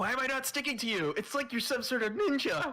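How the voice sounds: A man puts on a character voice at an extremely high pitch. He talks at a very fast pace.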